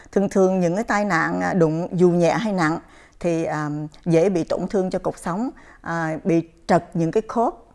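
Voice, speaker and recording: Over a quiet background, a woman talks at a fairly quick pace with a fairly low pitch and ordinary pitch variation. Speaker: chiropractor. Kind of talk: interview on a health program. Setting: studio. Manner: halting, many fillers. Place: studio. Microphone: lapel.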